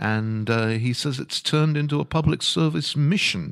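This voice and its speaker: With an ordinary speaking voice, a man talks at a moderate pace and with ordinary pitch variation in a very clean recording with a silent background. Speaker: entertainment reporter. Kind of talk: casual chat. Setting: studio.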